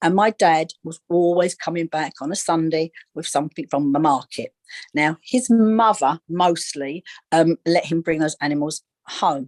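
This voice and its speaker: The voice carries a London accent in a dry, close sound with no echo. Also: woman, fairly low pitch for a woman, ordinary pitch variation, moderate pace. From East London, England. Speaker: psychic medium and animal communicator. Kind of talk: interview on a live video call. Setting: video call. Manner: halting, many repetitions and fillers.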